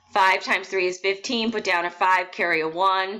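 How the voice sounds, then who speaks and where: Talking at a fairly quick pace, a woman uses a medium-pitched voice with a bright, sharp tone and ordinary pitch variation. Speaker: math teacher. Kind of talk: tutorial.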